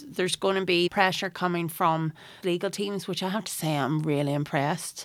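A woman with a Northern Irish accent speaks at a moderate pace with a fairly low pitch and ordinary pitch variation in a very clean recording with a silent background. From Northern Ireland, County Tyrone near Cookstown. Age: 40s. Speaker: environmental campaigner. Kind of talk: casual interview chat. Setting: studio.

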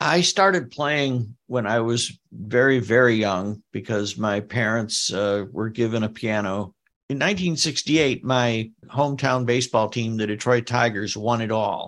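A man with an American accent and an unremarkable speaking voice, medium in pitch with ordinary pitch variation, at a fairly slow pace with hardly any pauses. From United States. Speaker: new age pianist and composer. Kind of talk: casual chat.

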